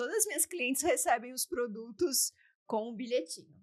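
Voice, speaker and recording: A woman's high voice moves through very wide pitch swings at a moderate pace. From São Paulo city, Brazil. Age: 40s. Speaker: beauty sales director. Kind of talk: interview. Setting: studio.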